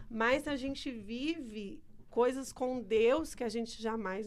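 The room echo is audible as a woman talks at a fairly high pitch with ordinary pitch variation. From Brazil, small town. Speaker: church member. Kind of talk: casual chat. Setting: studio.

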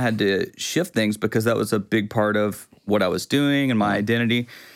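A man with an East Texas accent and fairly low pitch, in a very clean recording with a silent background. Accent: East Texas Southern US. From East Texas (Quitman). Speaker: worship pastor and videographer. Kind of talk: casual chat. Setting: studio.

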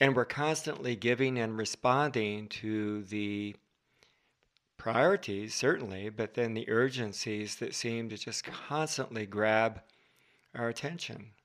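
A man with an unremarkable speaking voice, medium pitch and ordinary pitch variation at a fairly slow pace, in a very clean recording with a silent background. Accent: American. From Southern California. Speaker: marriage and family therapist. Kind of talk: casual interview conversation.

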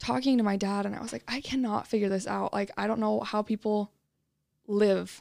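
A woman with an American accent speaks in a plain, everyday voice at a medium pitch and moderate pace. The recording is very clean, with a silent background. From Utah. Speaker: mental health advocate. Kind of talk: interview.

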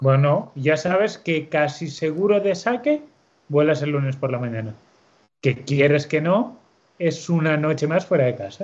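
In a plain, everyday voice, a man with a fairly high pitch speaks fairly slowly with lively intonation. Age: 30s. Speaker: motorcycle racing team coordinator. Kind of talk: casual interview chat. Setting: video call.

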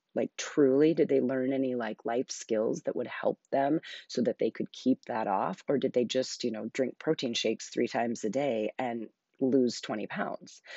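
A soft-spoken woman with a very deep, low pitch and ordinary pitch variation. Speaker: podcast host. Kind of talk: solo podcast monologue, casual chat. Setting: home living room, early morning. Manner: slow; quiet, soft-spoken.

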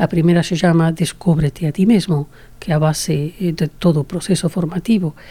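With a Spanish accent, a woman speaks at a moderate pace in a dark, mellow tone, her fairly low pitch, somewhat breathy delivery, fairly even intonation and very even loudness holding throughout. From Spain, Toledo. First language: Spanish (speaking Portuguese). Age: 70s. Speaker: association founder and president. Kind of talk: interview.

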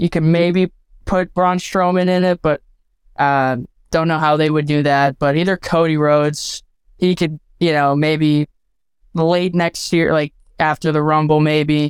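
On a very clean recording with a silent background, the words come at a fairly slow pace. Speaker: caller. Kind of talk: casual chat.

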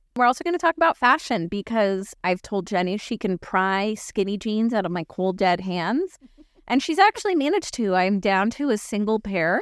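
A woman with an unremarkable speaking voice talks at a moderate pace and medium pitch, her intonation lively. The recording is very clean with a silent background and a dry, close sound with no echo. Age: 40s. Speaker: podcast co-host. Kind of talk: casual chat.

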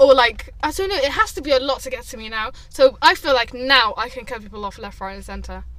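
A woman talks at a very fast pace with hardly any pauses and big swings in loudness. Noticeable background noise runs under her voice. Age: 20s. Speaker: podcast co-host. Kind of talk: casual chat.

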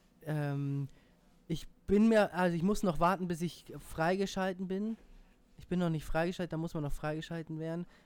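Very clean recording, silent background, featuring a man with a high pitch. He speaks at a moderate pace with fairly even intonation. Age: 20s. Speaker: podcast co-host. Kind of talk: casual chat. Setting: studio. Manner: hesitant, many fillers.

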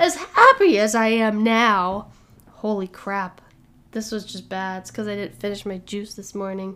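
In a plain, everyday voice, a woman talks at a medium pitch and a fairly slow pace. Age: 20s. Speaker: podcast host and musician. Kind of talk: casual solo monologue.

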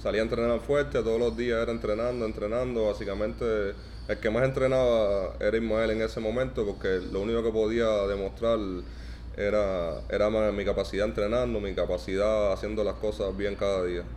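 A man with a Cuban accent talks at a fairly quick pace. His loudness stays very even, and room echo is audible. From Cuba, Santa Clara. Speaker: professional basketball player. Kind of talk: interview. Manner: halting, many repetitions.

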